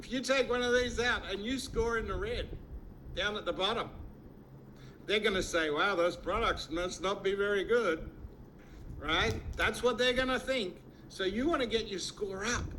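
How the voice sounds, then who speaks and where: A man's raised, projected voice at a high pitch with ordinary pitch variation, a moderate pace and long, frequent pauses, in audible room echo. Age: 60s. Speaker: network marketing distributor. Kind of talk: sales pitch. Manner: animated.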